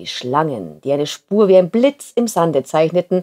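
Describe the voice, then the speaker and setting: Dark, mellow and warm, gentle in tone, the voice swings very widely in pitch, with a dry, close sound and no echo. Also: woman. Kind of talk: storytelling, reading a fairy tale aloud. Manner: warm, gentle, unhurried narration.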